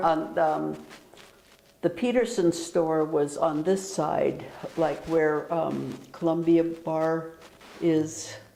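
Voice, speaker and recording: A woman speaks very slowly in a fairly low voice with a dark, mellow tone. She leaves long, frequent pauses, and her pitch varies in an ordinary way. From Sitka, Alaska. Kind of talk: interview answer. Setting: library.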